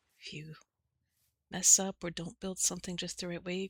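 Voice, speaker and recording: Dry and close with no echo, a somewhat breathy woman talks at a fairly quick pace in a medium pitch with monotone, flat intonation. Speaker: relaxation and sleep-aid content creator. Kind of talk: soft-spoken Minecraft relaxation commentary.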